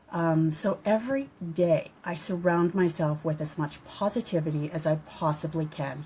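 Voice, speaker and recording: At a moderate pace and with hardly any pauses, a woman speaks in a fairly low pitch, somewhat breathy, with a dark, mellow tone and ordinary pitch variation. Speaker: social media presenter. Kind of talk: live video chat to viewers. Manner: stuttering, halting.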